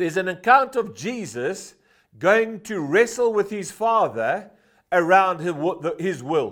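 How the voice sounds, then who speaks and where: This man has a high-pitched voice. The recording is very clean, with a silent background. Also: lively intonation, fairly slow pace. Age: 50s. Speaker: preacher. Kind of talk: sermon. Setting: church.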